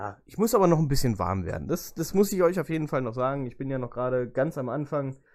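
At a very fast pace with hardly any pauses, a man with a fairly high pitch makes very wide pitch swings on a very clean recording with a silent background. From Lower Saxony, Germany (Göttingen). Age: 20s. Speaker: podcast host and motorsport photographer. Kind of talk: casual solo podcast monologue. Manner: chatty, talkative; hesitant fillers.

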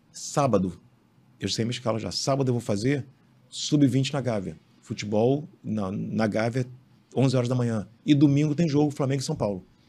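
At a moderate pace and medium pitch, a man with a dark, mellow tone and ordinary pitch variation speaks on a very clean recording with a silent background. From Rio de Janeiro, Brazil. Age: 50s. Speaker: sports photographer. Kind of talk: interview. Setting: studio.

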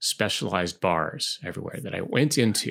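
A man with a normal speaking voice talks at a fairly low pitch with lively intonation in a very clean recording with a silent background. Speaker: podcast host and English teacher. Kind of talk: casual chat.

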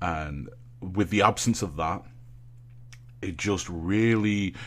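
A man's voice with vocal fry and ordinary pitch variation. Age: 20s. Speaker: streamer and content creator. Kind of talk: casual chat.

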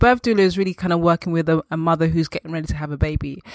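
A woman in a London accent, fairly low pitch with ordinary variation, dry, close sound with no echo and a very clean recording on a silent background. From Northwest London. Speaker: birth doula. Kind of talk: interview.

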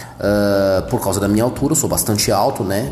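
Amid noticeable background noise and audible room echo, a man speaks at a fairly low pitch with ordinary pitch variation. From São Paulo metro area, Brazil. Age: 30s. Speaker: podcaster. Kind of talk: solo monologue podcast. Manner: casual.

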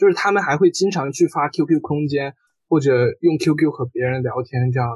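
A man with a normal speaking voice and a fairly high pitch talks at a fairly quick pace in a dry, close sound with no echo. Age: 20s. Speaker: university student. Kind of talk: casual chat.

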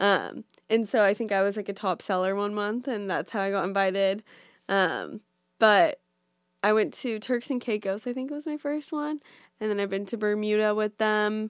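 With an American accent, a woman speaks at a moderate pace in a fairly high voice with ordinary pitch variation. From US West Coast, Orange County, California. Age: 20s. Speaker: social media influencer. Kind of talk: casual chat. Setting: in person, Brooklyn.

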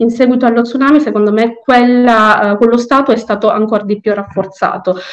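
A woman speaks at a fairly quick pace in a fairly high pitch. Her intonation is fairly even, her loudness very even, and background noise is noticeable. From Sicily, Palermo (Tamil family). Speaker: law student and court translator. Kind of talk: interview. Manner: halting, many fillers.

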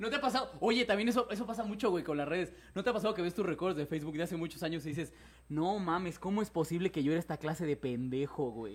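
Very fast and animated, a man speaks at a high pitch with lively intonation. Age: 30s. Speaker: podcast host. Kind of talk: casual chat. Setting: live stream.

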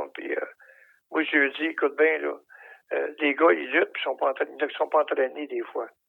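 A man's moderately paced speech, broken by long, frequent pauses. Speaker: retired professional wrestler. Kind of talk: interview.

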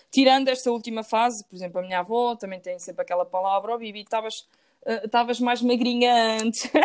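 Very fast delivery with big swings in loudness and ordinary pitch variation. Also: woman, fairly high pitch for a woman. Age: 20s. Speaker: engineering student. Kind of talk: casual interview.

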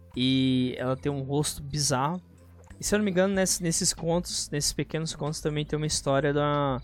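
At a moderate pace, a man with a fairly high pitch uses a plain, everyday voice with ordinary pitch variation. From Brazil, Federal District (Brasília area). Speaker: podcast host, gaming and geek news. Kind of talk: casual chat.

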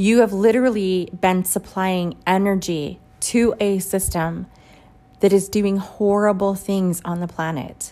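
Her voice, a woman's at a medium pitch, has a dark, mellow tone. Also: fairly even intonation. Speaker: spiritual podcast host, holistic healer. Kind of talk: spiritual monologue. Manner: halting, with many fillers.

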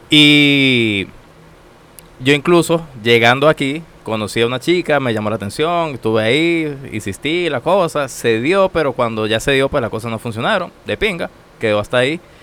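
With noticeable background noise behind him, a man speaks at a moderate pace in a medium pitch with lively intonation. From Venezuela, Táchira (San Cristóbal). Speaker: systems engineer, immigrant. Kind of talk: casual interview. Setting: studio.

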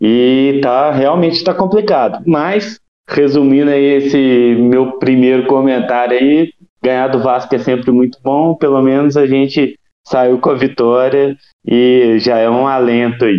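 At a fairly slow pace, a man with a rural Minas Gerais accent speaks at a medium pitch and very even loudness. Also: ordinary pitch variation. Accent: Minas Gerais countryside. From interior of Minas Gerais, Brazil. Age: 30s. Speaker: football podcast guest, fan commentator. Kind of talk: casual chat.

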